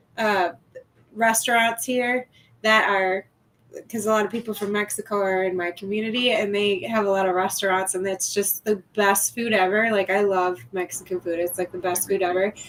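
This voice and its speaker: The speaker has a Midwestern accent, fairly even intonation and a moderate pace. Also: woman, medium pitch for a woman. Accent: Midwest. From Wisconsin (US Midwest). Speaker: guest. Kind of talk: casual chat.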